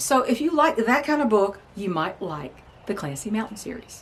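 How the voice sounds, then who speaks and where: A woman speaks at a moderate pace in a fairly high voice. Her pitch swings very widely. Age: 60s. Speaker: novelist and homesteader. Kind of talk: casual vlog talk. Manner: halting, with frequent fillers.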